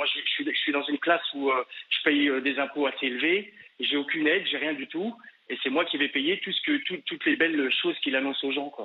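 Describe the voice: A man's fairly high voice with a slightly husky edge, fairly even intonation and a fairly quick pace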